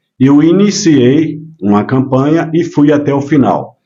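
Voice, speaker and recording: A man's dark, mellow tone at a very slow pace, with audible room echo. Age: 60s. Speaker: businessman and former mayoral candidate. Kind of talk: casual interview chat. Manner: hesitant, many filler words.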